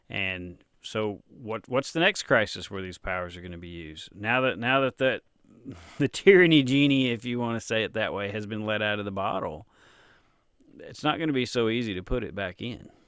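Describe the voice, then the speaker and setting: A man with a Tennessee accent talks at a fairly quick pace and a medium pitch. His intonation is lively, and his loudness swings widely. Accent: Tennessee twang, natural. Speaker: author and interviewer. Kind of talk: casual interview chat.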